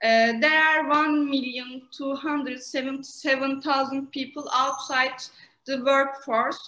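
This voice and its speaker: With audible room echo, a woman in a raised, projected voice speaks at a very slow pace, her high pitch, bright, sharp tone and fairly even intonation carrying through. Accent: Turkish. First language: Turkish. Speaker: master's student and co-moderator. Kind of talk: prepared question at an online conference. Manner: halting, many hesitations.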